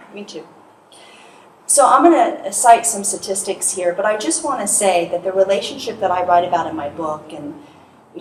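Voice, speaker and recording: Soft-spoken and at a moderate pace, a woman talks with ordinary pitch variation amid audible room echo and noticeable background noise. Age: 50s. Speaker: hypnotherapist and speaker. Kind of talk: motivational talk. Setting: stage with audience.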